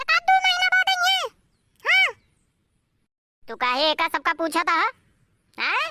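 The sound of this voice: A woman performs a cartoonish character voice, the sound dry and close with no echo.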